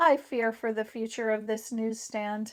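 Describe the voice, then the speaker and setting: Using a put-on character voice, a woman speaks at a moderate pace and fairly high pitch in a very clean recording with a silent background. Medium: read story.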